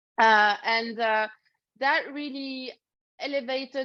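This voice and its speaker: Pitch moves in an ordinary way as the woman talks. Behind her, things are quiet. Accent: French. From France, Paris. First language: French. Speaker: leadership coach. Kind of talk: interview.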